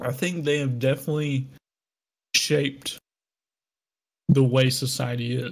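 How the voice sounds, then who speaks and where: A man speaks at a medium pitch, somewhat breathy, with fairly even intonation. His pace is fairly slow, broken by long, frequent pauses. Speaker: podcast co-host. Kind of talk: casual chat.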